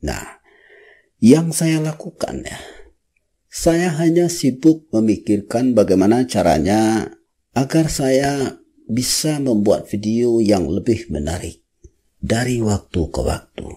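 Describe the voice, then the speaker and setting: In a strong Minangkabau accent, a man with a medium-pitched, dark and mellow voice speaks very slowly with very wide pitch swings on a very clean recording with a silent background. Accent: Minangkabau accent, very noticeable. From West Sumatra, Indonesia (Padang, Minangkabau). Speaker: YouTuber. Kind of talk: vlog monologue.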